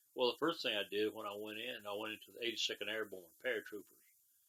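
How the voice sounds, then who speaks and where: A man speaks with a South Carolina accent. His pace is very fast. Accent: Southern US (South Carolina). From US South, South Carolina (Spartanburg County). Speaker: war veteran. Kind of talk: oral history interview. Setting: at his home. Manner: terse.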